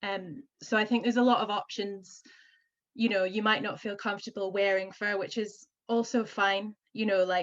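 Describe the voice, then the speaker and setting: A woman talks at medium pitch in a monotone, flat intonation. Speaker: vintage fur upcycling business owner. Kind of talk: panel discussion. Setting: video call.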